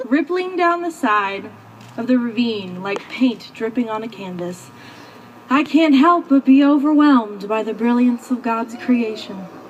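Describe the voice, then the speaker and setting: Over noticeable background noise, a woman speaks at a fairly slow pace in a high voice with lively intonation. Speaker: maid of honor. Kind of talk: spoken word poetry wedding speech.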